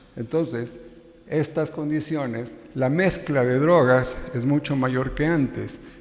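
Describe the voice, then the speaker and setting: In a room with audible echo, a man talks at a fairly high pitch with fairly even intonation. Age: 60s. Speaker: psychiatrist, addiction specialist. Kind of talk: conference lecture. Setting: scientific event with audience.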